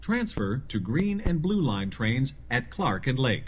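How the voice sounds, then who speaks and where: A man speaks very slowly with vocal fry. His pitch swings very widely. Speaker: voiceover artist. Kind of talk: automated transit announcement. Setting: train PA system.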